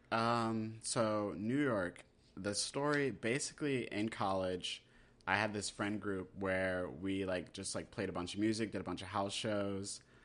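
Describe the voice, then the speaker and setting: Speaking at a fairly slow pace, a man with an American accent has a plain, everyday voice, fairly low in pitch with ordinary pitch variation. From US, military family (Germany, South Carolina, Texas, Maryland). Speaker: cartoonist and graphic novelist. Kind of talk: casual chat.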